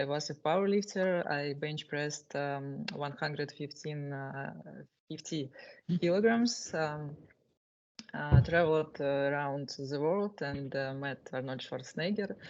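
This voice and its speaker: Speaking at a fairly slow pace, a woman has a very deep, low pitch with ordinary pitch variation. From Russia. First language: Russian. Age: 20s. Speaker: war correspondent. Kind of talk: self-introduction at a meeting. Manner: halting, many fillers.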